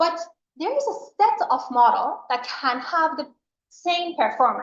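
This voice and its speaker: Very wide pitch swings run through this voice with an Iranian accent. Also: woman. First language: Farsi. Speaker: professor. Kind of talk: lecture.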